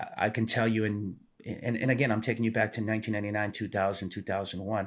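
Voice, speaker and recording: A man talks at a very fast pace in a Spanish accent. His pitch is fairly low and his intonation is monotone and flat. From Peru (Lima). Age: 50s. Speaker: retired police sergeant. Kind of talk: podcast interview. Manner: halting, many fillers and repetitions.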